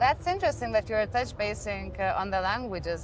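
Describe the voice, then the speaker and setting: A woman at a fairly quick pace amid noticeable background noise. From Lithuania. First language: Lithuanian. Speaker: podcast host. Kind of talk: podcast interview. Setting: live event venue.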